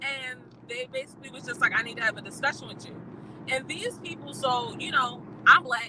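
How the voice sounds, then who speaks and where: Noticeable background noise sits behind a high-pitched woman's voice. She talks at a fairly quick pace with ordinary pitch variation. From Baltimore, US. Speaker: YouTuber, barista. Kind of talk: casual livestream chat. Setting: livestream. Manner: fast.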